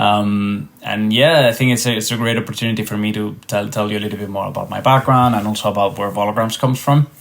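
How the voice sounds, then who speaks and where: With a Spanish accent, a man talks at a very fast pace in a fairly low pitch. His intonation is fairly even, and background noise is noticeable. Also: hardly any pauses. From Spain. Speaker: tech startup founder and researcher. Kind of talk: podcast interview. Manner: hesitant, many fillers and repetitions.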